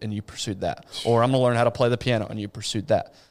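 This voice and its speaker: Delivered at a very fast pace with fairly even intonation, this voice carries an American accent. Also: man. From West Texas. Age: 30s. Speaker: podcast host. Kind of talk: casual chat.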